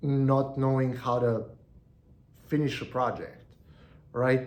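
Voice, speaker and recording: A man's medium-pitched voice with a non-native accent at a very slow pace, amid audible room echo. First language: not English. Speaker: online business educator. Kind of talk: solo video monologue. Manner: halting, frequent repetitions and fillers.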